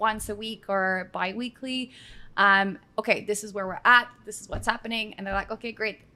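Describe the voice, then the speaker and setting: A woman with a slight Australian accent speaks at a moderate pace in a bright, sharp tone and a fairly high pitch, her intonation flat and monotone while her loudness swings widely. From Quebec. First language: French. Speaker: account manager. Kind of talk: casual interview on live stream. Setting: live video stream.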